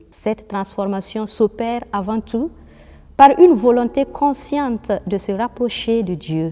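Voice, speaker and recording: A woman with a dark, mellow tone and fairly high pitch speaks at a very slow pace with lively intonation. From Burkina Faso. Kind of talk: interview, explanatory talk. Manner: formal.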